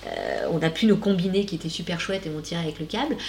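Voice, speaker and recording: Over noticeable background noise, a woman talks very fast at a fairly low pitch, with ordinary pitch variation. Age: 40s. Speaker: shaman, life coach and podcast host. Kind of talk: casual interview chat.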